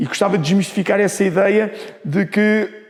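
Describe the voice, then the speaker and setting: The speaker keeps a moderate pace with ordinary pitch variation. Noticeable background noise runs under the voice. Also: man. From Portugal, Lisbon. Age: 60s. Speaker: former football referee and coaching instructor. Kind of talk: interview. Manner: animated.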